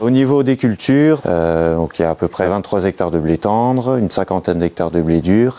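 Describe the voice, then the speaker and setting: A man speaks with lively intonation. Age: 30s. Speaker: farmer. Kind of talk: interview testimony. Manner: hesitant, many fillers.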